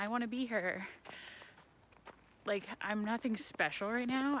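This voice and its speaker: A woman speaks at a moderate pace in a fairly high, animated voice with ordinary pitch variation. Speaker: vlogger. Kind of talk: casual vlog monologue. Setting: outdoors walking on train tracks. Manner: rambling tangents, animated. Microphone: muffled.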